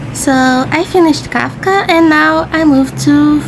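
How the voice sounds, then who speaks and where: A woman with a non-native accent speaks at a fairly slow pace, with audible room echo and noticeable background noise. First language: not English. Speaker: artist, video creator. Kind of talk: voiceover narration of drawing process.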